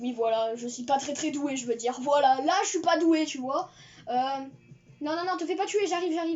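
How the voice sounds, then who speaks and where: A woman's high-pitched voice with ordinary pitch variation, at a moderate pace, with long, frequent pauses. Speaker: gaming youtuber. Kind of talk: gameplay commentary. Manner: hesitant, many fillers.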